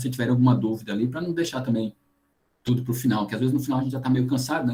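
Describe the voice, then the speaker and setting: A dark, mellow, somewhat breathy voice with fairly even intonation. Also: man. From Paraíba coast, Brazil. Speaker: geoscience lecturer. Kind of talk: online lecture. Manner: fast.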